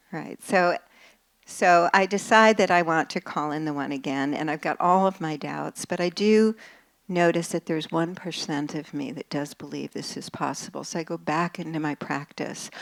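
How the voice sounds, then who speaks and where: A woman's fairly low-pitched, normal speaking voice at a moderate pace with ordinary pitch variation, dry and close with no echo, in a very clean recording with a silent background. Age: 60s. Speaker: psychotherapist and relationship author. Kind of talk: talk to a live audience.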